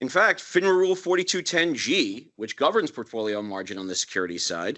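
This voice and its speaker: A man with a fairly high pitch talks at a fairly quick pace, his pitch swinging very widely. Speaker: broker-dealer executive, roundtable panelist. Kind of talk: panel discussion. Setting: roundtable with live audience. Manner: formal.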